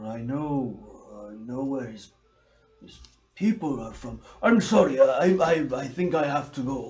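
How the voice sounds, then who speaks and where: Using a put-on character voice at medium pitch, a man moves at a fairly slow pace with long, frequent pauses. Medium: actual play. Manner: hesitant, apologetic.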